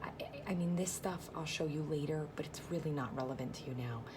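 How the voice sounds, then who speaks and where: A woman whispers at a moderate pace, with noticeable background noise and audible echo from the room. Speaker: direct sales consultant. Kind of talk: tutorial. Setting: at work. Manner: whispering.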